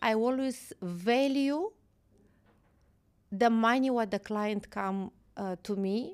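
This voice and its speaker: Pausing long and often, a woman with a fairly high pitch speaks at a very slow pace. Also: very clean recording, silent background. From Moldova. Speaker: real estate agent. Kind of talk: interview podcast.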